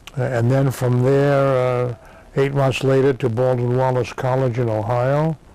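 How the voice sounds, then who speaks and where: A man speaks at a fairly slow pace with monotone, flat intonation and very even loudness, over noticeable background noise. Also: medium pitch for a man. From Massachusetts. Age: 70s. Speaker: war veteran. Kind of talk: oral history interview. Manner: halting, many fillers.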